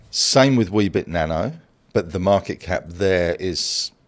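A man with an Australian accent, very deep and low in pitch, at a very slow pace with ordinary pitch variation. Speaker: investing mentor. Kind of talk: casual chat.

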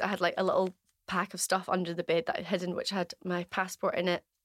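In a Glaswegian accent, a woman talks at a fairly quick pace and a fairly low pitch. The recording is very clean, dry and close, with no echo and a silent background. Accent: Glaswegian Scottish. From Scotland, Glasgow West End. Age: 30s. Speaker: business owner, former diving instructor. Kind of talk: casual interview, personal story.

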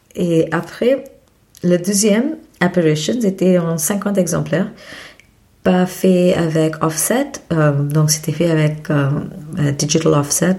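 A woman speaks at a very slow pace with fairly low pitch, long and frequent pauses, and very even loudness. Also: ordinary pitch variation. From India, Mumbai. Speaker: photobook publisher and photographer. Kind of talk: interview. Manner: halting.

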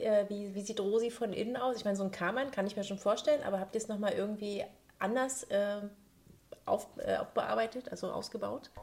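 A woman with a normal speaking voice talks at a fairly quick pace with fairly even intonation. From Saxony-Anhalt, Bitterfeld. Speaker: podcast host. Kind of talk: casual interview.

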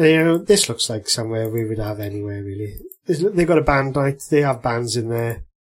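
Somewhat breathy and medium in pitch, a man speaks at a fairly quick pace with lively intonation. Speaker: podcast host.

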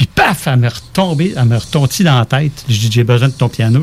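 Noticeable background noise accompanies a man whose medium-pitched voice shows ordinary pitch variation. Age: 50s. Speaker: musician and composer. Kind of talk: casual interview.

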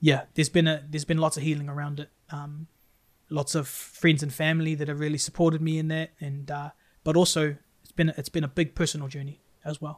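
A man with a New Zealand accent speaks at a very fast pace and a fairly high pitch, with monotone, flat intonation and big swings in loudness. The recording is very clean, with a silent background. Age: 30s. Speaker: youth worker and musician. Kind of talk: podcast interview, personal story.

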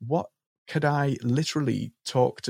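Recorded very cleanly against a silent background, this dry, close sound with no echo carries a voice in a Liverpool accent. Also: man. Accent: Liverpool (Scouse) English. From northern England, Liverpool. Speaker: marketing coach. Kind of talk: podcast interview.

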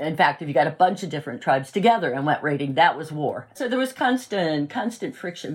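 A woman with an American accent, very deep and low in pitch, somewhat breathy, with very wide pitch swings. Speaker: university professor of religion and history. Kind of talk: interview, explanatory talk.

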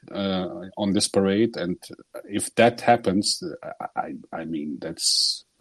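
A man's fairly low-pitched voice with ordinary pitch variation, the sound dry and close with no echo. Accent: Portuguese. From Portugal. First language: Portuguese. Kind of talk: group discussion about the war. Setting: video call. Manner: halting.

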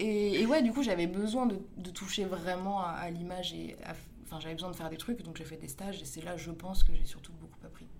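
Over noticeable background noise and audible room echo, the speaker goes at a fairly quick pace with ordinary pitch variation and big swings in loudness. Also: woman. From Paris. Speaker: video director. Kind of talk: casual interview.

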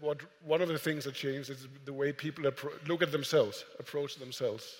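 He speaks in an ordinary speaking voice, a man with a fairly high pitch, fairly even intonation and a moderate pace. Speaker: moderator and editor. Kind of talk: moderated live conversation. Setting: stage with audience.

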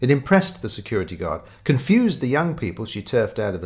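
The speaker does plain reading aloud. Each line is read straight through.

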